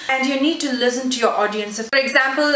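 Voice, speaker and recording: A woman's fairly even-toned voice amid noticeable background noise and audible room echo. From South India. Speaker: beauty YouTuber. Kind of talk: casual Q&A vlog. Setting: sitting on her bed at home.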